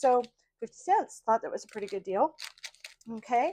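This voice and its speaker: This is a woman speaking. Her pitch is high. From Idaho. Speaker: craft vlogger. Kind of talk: casual show-and-tell vlog. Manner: hesitant, many fillers.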